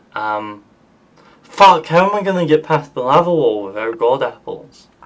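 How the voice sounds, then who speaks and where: Over noticeable background noise, a man with a fairly high pitch talks at a moderate pace, his voice swinging very widely in pitch. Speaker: gaming streamer. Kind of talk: live gameplay stream chat. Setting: live stream, sitting down. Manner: casual, halting with fillers.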